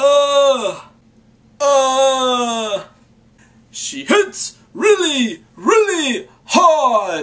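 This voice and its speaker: High-pitched put-on character voice at a very slow pace, broken by long, frequent pauses. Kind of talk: casual vlog talk to camera. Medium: role play.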